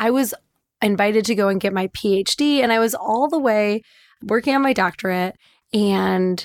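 On a very clean recording with a silent background, a woman with a Midwestern American accent speaks at a medium pitch and moderate pace. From US Midwest, Detroit suburbs. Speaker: sex and relationship coach. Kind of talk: casual chat; guided meditation.

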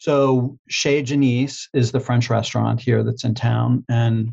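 The voice is somewhat breathy and monotone, with flat intonation at a fairly slow pace and a dry, close sound with no echo. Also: man. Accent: American. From Pittsburgh, Pennsylvania. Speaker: speech-language pathology professor. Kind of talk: educational interview. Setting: live online course.

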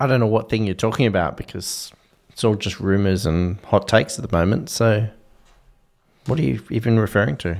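Speaking in an Australian accent, a man keeps a fairly quick pace. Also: fairly low pitch for a man, ordinary pitch variation. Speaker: podcast co-host. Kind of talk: casual chat. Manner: breathless, fast.

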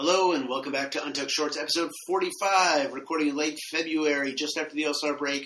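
Over noticeable background noise, a man with a fairly high pitch talks at a fairly quick pace with hardly any pauses. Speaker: podcast co-host. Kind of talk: casual chat. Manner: animated.

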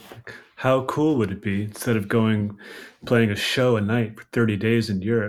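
A man with an American accent, medium pitch, fairly even intonation and a moderate pace, in a plain, everyday voice. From US East Coast, Washington DC. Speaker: record label owner. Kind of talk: casual chat.

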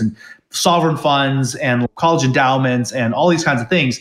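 With an unremarkable speaking voice, a man talks at a fairly quick pace using lively intonation. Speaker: tech company CEO. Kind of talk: casual interview conversation.

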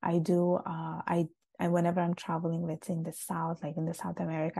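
Against a quiet background, a woman speaks with a fairly low pitch and a dark, mellow tone that is somewhat breathy. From Sicily, Italy. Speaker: author and polyglot YouTuber. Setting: video call across continents.

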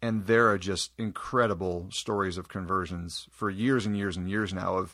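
On a very clean recording with a silent background, a man speaks with a Midwestern American accent. His very deep, low pitch moves with fairly even intonation at a moderate pace. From Iowa. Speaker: youth minister. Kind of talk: interview.

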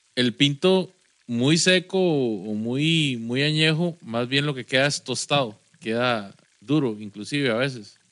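This man talks at a very slow pace with a Costa Rican accent, using a medium pitch and ordinary pitch variation. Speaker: podcast co-host. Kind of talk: casual chat. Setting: studio.

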